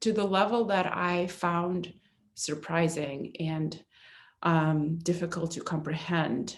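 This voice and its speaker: Very slowly and with fairly even intonation, a woman speaks with a Russian accent at a fairly low pitch. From eastern Ukraine (Kharkiv). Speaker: aid organization volunteer. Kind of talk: testimony. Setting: church. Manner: halting.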